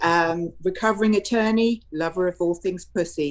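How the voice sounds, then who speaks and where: A woman speaks with a British accent at medium pitch. Her pace is moderate. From England. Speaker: podcast co-host, former attorney. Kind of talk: casual chat. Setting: video call livestream. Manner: animated.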